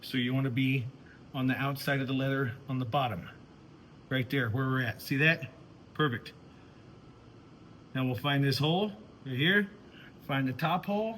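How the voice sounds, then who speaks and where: A loud man's voice, medium in pitch, with long, frequent pauses. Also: ordinary pitch variation, moderate pace. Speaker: woodworking and leather craft youtuber. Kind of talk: tutorial. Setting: workshop.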